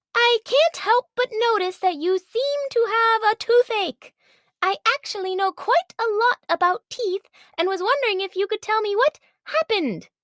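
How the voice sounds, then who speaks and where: A female-sounding voice in a put-on character voice speaks at an extremely high pitch and moderate pace. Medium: audio drama. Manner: polite, enthusiastic.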